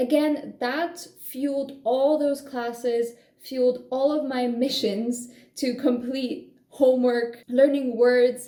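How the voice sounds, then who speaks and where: With a Polish accent, a woman speaks at a high pitch in a dark, mellow tone. Her pace is very slow. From Poland. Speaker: language-learning vlogger. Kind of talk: casual vlog monologue. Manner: animated.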